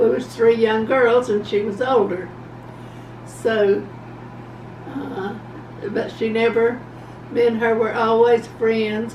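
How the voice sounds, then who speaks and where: There is noticeable noise behind a woman with a fairly high pitch. She talks fairly slowly in a flat, monotone way. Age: 80s+. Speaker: grandmother. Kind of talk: interview answer. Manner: slow, hesitant.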